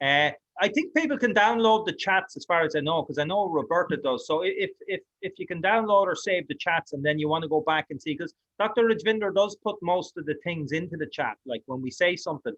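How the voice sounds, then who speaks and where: A man's high voice in an Irish accent, fairly quick in pace, with ordinary pitch variation. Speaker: online course host. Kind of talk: online class wrap-up.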